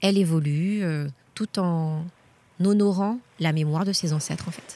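A somewhat breathy woman's voice, fairly low in pitch, at a fairly slow pace with ordinary pitch variation. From Guadeloupe. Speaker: journalist and teacher. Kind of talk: travel interview. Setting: outdoors at a memorial site. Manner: halting, repeats words.

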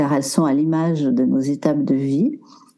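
A woman with a very deep, low pitch speaks in a dark, mellow tone with lively intonation. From French Alps. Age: 60s. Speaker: body movement coach, former dancer. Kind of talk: casual interview.

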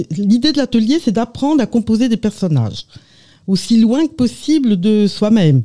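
The voice has a dark, mellow tone, a somewhat breathy quality and lively intonation, with a slight Burgundy accent and a dry, close sound with no echo. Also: woman, fairly high pitch for a woman, moderate pace, very even loudness. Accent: slight Burgundy accent, stressed A sounds. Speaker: amateur actress. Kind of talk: radio interview.

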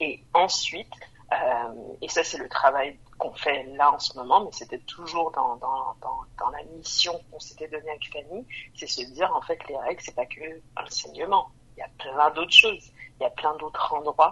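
Her loudness rises and falls in big swings. The woman keeps a moderate pace. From Montreal, Quebec. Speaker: brand co-founder. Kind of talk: casual interview.

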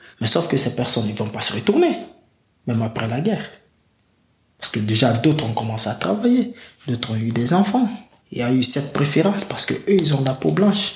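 The speech moves at a fairly quick pace with very wide pitch swings and long, frequent pauses. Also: man, medium pitch for a man. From Guinea. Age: 20s. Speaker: migrant telling his story. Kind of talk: testimony.

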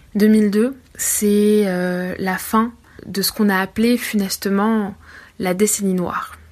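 Fairly even intonation carries this voice. It belongs to a woman. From France. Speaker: literature teacher and researcher. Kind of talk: recorded commentary.

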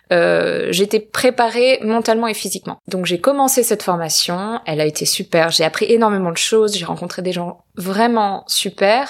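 A woman with a plain, everyday voice speaks at a fairly high pitch and a fairly slow pace, with ordinary pitch variation. The recording is very clean, with a silent background. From southern France, near Marseille. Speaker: actress and filmmaker. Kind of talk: personal testimony interview. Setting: living room in Los Angeles.

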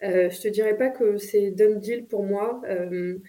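A woman's voice carries a dark, mellow tone. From France. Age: 30s. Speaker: business executive. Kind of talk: interview. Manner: halting.

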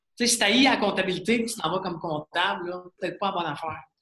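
The man's speech has ordinary pitch variation. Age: 40s. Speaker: serial entrepreneur. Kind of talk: interview. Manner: animated.

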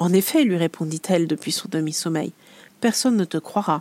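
A woman's dark, mellow and gentle voice with lively intonation at a moderate pace, dry and close with no echo. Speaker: podcast host and illustrator. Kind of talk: bedtime story telling, fairy-tale narration; scripted podcast intro. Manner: soft, gentle, storyteller pacing.

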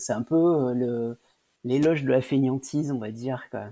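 There's a dark, mellow tone to this man's voice. He speaks at a fairly slow pace. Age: 40s. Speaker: IT worker and home gardener. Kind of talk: interview testimony. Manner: halting, many hesitations.

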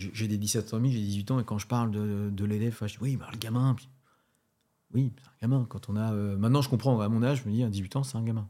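The recording is very clean and the background silent. A man talks fairly quickly at a medium pitch, with a dark, mellow tone and fairly even intonation. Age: 40s. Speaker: strength and conditioning coach. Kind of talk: casual interview.

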